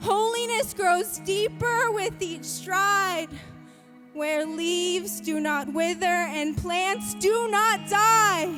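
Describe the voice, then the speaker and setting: With music in the background, a woman speaks in a raised, projected voice at an extremely high pitch, very slowly, with lively intonation. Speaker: spoken word poet. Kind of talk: spoken word poetry performance.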